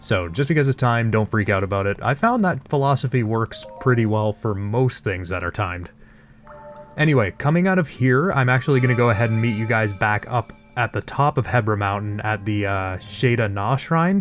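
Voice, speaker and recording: Music plays in the background as a man with a medium-pitched voice speaks at a fairly quick pace with lively intonation. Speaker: let's play gamer. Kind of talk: casual gameplay commentary. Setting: home, late night.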